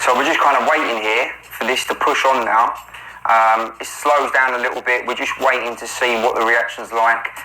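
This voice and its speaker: With a London accent, a man of medium pitch talks at a moderate pace in monotone, flat intonation, with audible room echo and noticeable background noise. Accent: London accent, remarked on by commenters. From South London. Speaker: day trader. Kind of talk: trade commentary over screen recording.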